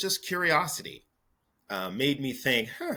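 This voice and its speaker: Speaking at a fairly slow pace, a man with a bright, sharp tone uses vocal fry and very wide pitch swings. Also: very clean recording, silent background. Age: 60s. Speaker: retired federal ombudsman. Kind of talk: casual chat.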